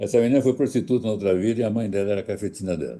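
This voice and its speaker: Talking at a very fast pace, a man with a fairly low pitch has a dark, mellow tone, vocal fry and ordinary pitch variation. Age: 80s+. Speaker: astrologer. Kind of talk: interview.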